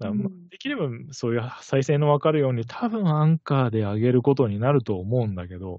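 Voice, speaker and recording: A medium-pitched man talks at a very fast pace with lively intonation. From Kitakyushu, Fukuoka, Japan. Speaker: podcast co-host. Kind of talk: casual chat.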